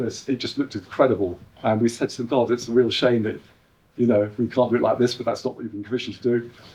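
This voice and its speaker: A dark, mellow tone with an English accent and fairly even intonation. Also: man. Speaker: artist and producer. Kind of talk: live performance talk to audience. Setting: exhibition venue with live audience. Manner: hesitant, many ums and uhs.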